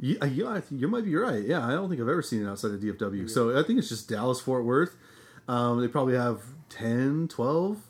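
Using a plain, everyday voice, a man speaks at medium pitch. His pace is fairly quick and his intonation lively. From Nebraska. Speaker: podcast co-host. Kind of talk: casual chat.

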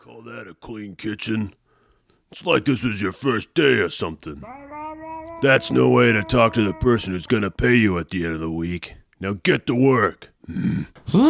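Here a man talks at a moderate pace with a fairly low pitch. His pitch swings very widely and his loudness rises and falls sharply. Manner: gruff, suspicious, slangy.

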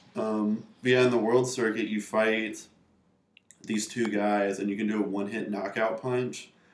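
A man's fairly low voice with an American accent, monotone and flat, at a moderate pace, with audible room echo. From North Carolina (Raleigh). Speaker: video game programmer. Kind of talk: casual chat.

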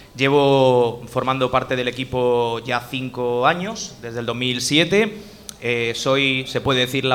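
A man talks at a medium pitch while noticeable noise runs in the background. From Spain, Elche. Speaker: podcaster. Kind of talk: casual chat. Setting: live event with audience.

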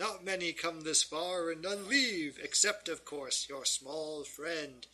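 A man puts on a character voice and keeps to a fairly slow pace. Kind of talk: hammy villain voice. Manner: mocking, gloating, theatrical villain.

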